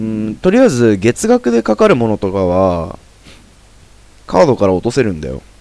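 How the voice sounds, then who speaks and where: A man's voice sits fairly low, with a dark, mellow tone. He speaks at a moderate pace with lively intonation. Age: 20s. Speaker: amateur podcast host. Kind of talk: casual chat.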